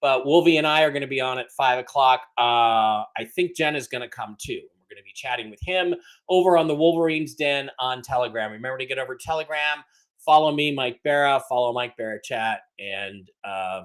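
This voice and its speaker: An unremarkable speaking voice from a man at medium pitch, fairly quick pace, ordinary pitch variation and big swings in loudness. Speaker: podcast host. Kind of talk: casual livestream chat. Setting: livestream.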